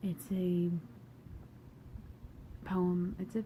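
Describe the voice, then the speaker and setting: A woman's fairly low voice comes through with noticeable noise behind it. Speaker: poet. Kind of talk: casual talk to camera.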